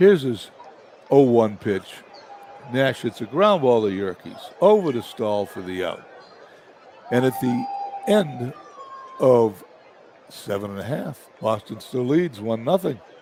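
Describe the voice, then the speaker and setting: Over noticeable background noise, a man at medium pitch speaks at a fairly slow pace with very wide pitch swings and long, frequent pauses. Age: 70s. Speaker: simulated baseball play-by-play broadcaster. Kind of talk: live commentary; casual chat.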